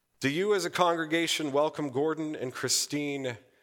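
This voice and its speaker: A man is speaking. He goes at a fairly slow pace. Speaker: pastor. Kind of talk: sermon. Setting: church.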